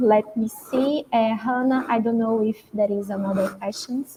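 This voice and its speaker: A woman's fairly high voice with a Portuguese accent, ordinary pitch variation and a moderate pace, over noticeable background noise. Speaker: professor. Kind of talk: moderating a conference Q&A. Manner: hesitant, many fillers.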